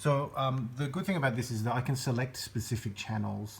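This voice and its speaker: In an Australian accent, a somewhat breathy man talks at a moderate pace with fairly even intonation. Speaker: musician seeking tech support. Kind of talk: video demonstration. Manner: hesitant, many fillers.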